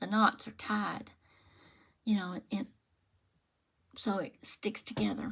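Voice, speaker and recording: The speech is very slow. Vocal fry runs through the voice. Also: woman. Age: 70s. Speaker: crochet and knitting vlogger. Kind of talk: casual chat with craft tutorial. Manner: chatty, relaxed.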